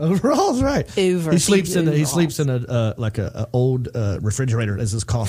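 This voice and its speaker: Against noticeable background noise, a man with a Southern US accent talks at a very fast pace with lively intonation and hardly any pauses. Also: medium pitch for a man. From American South. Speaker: podcast host, comedian.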